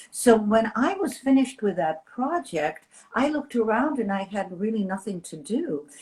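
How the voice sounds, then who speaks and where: A woman speaks at a moderate pace in a fairly high, somewhat breathy voice. Her pitch swings very widely. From Europe. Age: 60s. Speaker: style influencer. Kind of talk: interview conversation.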